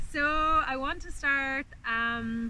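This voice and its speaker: On a dry recording with no echo and light background noise, a woman speaks with a high pitch and a warm tone. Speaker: herbalist teacher. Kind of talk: guided meditation. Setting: outdoors. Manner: soft, slow, calming, hushed, with long pauses; warm, inviting. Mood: calm, gentle, meditative. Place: open country.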